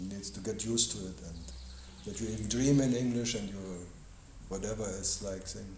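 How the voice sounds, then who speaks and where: A man's fairly low voice with ordinary pitch variation and long, frequent pauses, plus audible room echo and noticeable background noise. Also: fairly quick pace. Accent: German. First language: German. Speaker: spiritual teacher. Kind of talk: question-and-answer dialogue. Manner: halting.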